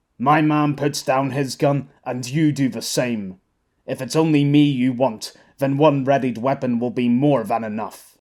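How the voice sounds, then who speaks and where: Using a put-on character voice, the speaker keeps a moderate pace and fairly even intonation. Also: man, medium pitch for a man. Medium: read story. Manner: cool, measured, unflustered.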